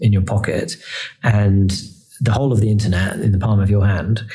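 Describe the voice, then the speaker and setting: A man's fairly low, dark and mellow voice, somewhat breathy, at a fairly quick pace with audible room echo. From England. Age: 30s. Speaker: electric car executive. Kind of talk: interview. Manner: hesitant fillers.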